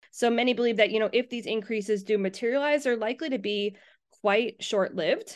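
An unremarkable speaking voice from a woman, fairly high in pitch, fairly quick, with ordinary pitch variation over a quiet background. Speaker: university professor. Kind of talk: interview, explanatory talk.

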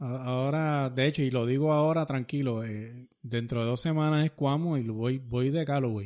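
A man at medium pitch and a moderate pace, fairly even intonation, hardly any pauses, very clean recording with a silent background. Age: 50s. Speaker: podcast host and runner. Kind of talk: casual chat. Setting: studio.

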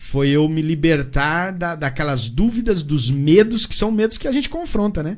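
Speaking at a moderate pace with hardly any pauses, a man uses lively intonation and a fairly high pitch. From Paraná, Brazil. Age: 40s. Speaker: evangelical churchgoer, former ministry member. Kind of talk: testimony. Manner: halting, repeats words.

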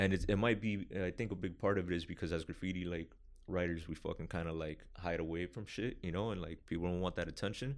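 Over a quiet background, a man talks at a very fast pace with a very deep, low pitch and fairly even intonation. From Miami. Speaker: graffiti artist. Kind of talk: casual chat. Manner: calm, laid-back.

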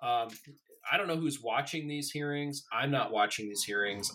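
A man in an American accent has a normal speaking voice, talking at a fairly quick pace with ordinary pitch variation. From Colorado, US. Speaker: political writer. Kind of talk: casual chat.

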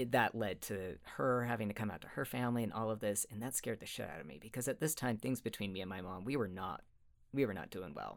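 The speech comes at a very fast pace with lively intonation and vocal fry, in a very clean recording with a silent background. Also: man, fairly low pitch for a man. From Utah. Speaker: therapist. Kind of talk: interview. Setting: studio.

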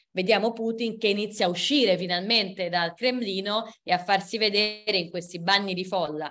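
At a moderate pace, an unremarkable speaking voice keeps its intonation fairly even. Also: woman. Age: 30s. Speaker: historian and book author. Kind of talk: book presentation talk.

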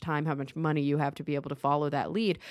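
Speaking at a very fast pace, a woman with a very deep, low voice is heard on a very clean recording with a silent background. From Texas. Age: 30s. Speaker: podcast host. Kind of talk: casual interview. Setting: home studio.

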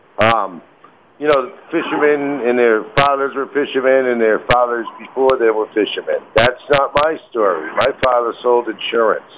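In an unremarkable speaking voice, a man talks at a moderate pace and medium pitch. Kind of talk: casual radio interview chat.

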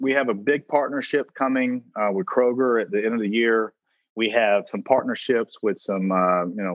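Speaking at a moderate pace, a man with a strong Southern US accent shows ordinary pitch variation. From South Carolina. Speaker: food brand founder and CEO. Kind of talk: interview. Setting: phone call.

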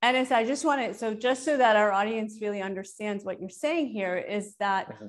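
An ordinary speaking voice from a woman with an American accent, fairly high pitch, ordinary pitch variation, a fairly quick pace, hardly any pauses, and a quiet background. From Iran. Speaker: podcast host. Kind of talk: interview.

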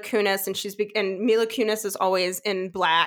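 At a moderate pace, a woman speaks with an American accent on a very clean recording against a silent background. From New York. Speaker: podcast co-host. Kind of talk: casual chat about films.

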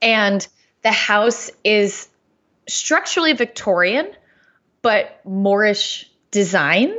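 Speaking at a very slow pace with long, frequent pauses, a woman with an American accent uses lively intonation at a fairly high pitch. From New York's Hudson Valley (Chatham, Columbia County). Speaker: travel podcaster. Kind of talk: interview.

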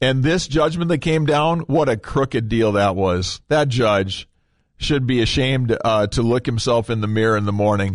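In an unremarkable speaking voice, a man talks at medium pitch and a moderate pace, with ordinary pitch variation and very even loudness, against a quiet background. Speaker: radio host. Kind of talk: conservative talk radio show. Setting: radio studio. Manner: conversational, upbeat, friendly.

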